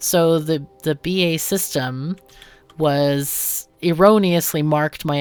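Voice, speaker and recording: A woman's very deep, low voice with lively intonation. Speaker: gaming tutorial youtuber. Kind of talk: casual chat.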